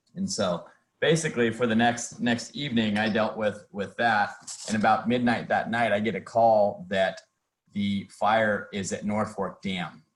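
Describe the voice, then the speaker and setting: A man's medium-pitched voice comes at a fairly slow pace. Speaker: council member, hydro facility manager. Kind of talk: meeting report. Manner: monotone.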